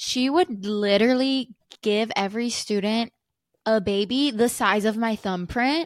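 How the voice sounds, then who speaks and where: On a very clean recording with a silent background and a dry, close sound with no echo, a woman with a plain, everyday voice talks at a fairly slow pace, using a fairly high pitch and ordinary pitch variation. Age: 20s. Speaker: podcast co-host. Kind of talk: casual chat.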